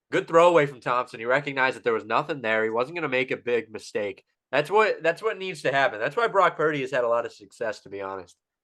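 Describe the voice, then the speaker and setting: Very fast and with very wide pitch swings, a man talks in a fairly high pitch and a bright, sharp tone. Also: hardly any pauses, quiet background. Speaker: comedy podcast co-host. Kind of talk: live game commentary; casual chat.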